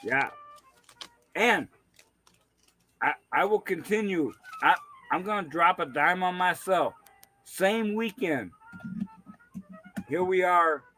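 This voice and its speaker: A man's high, raised and projected voice at a very slow pace, with long, frequent pauses and music in the background. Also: ordinary pitch variation. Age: 60s. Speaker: livestream host. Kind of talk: casual chat. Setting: livestream from a man cave at a party. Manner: halting, repeats words.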